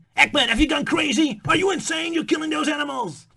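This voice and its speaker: A man performs a put-on character voice at an extremely high pitch. He talks at a very fast pace in a raised, projected voice. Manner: bombastic, panicked, urgent.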